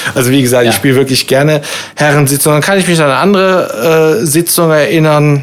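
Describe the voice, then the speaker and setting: Ordinary pitch variation in an ordinary speaking voice. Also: man. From Rhein-Sieg-Kreis, Germany. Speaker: cabaret artist. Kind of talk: casual chat. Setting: pub.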